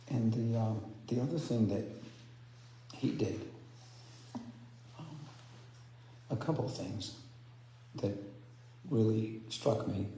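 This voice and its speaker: A soft-spoken man talks at a very slow pace with long, frequent pauses, his medium-pitched voice fairly even in intonation, with audible room echo and noticeable background noise. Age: 60s. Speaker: spiritual speaker. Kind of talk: sermon. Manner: halting. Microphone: too quiet.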